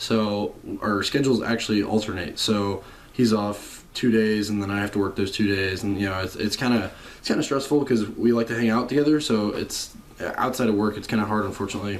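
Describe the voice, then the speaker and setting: Quiet and fairly low-pitched, a man speaks at a fairly quick pace with fairly even intonation. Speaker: car enthusiast vlogger. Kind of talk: casual vlog talk. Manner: monotone and quiet; hesitant, many fillers.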